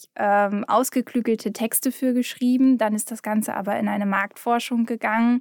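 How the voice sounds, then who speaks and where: On a very clean recording with a silent background and a dry, close sound with no echo, a woman speaks in a monotone, flat intonation. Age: 20s. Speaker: content and project manager. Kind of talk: casual chat.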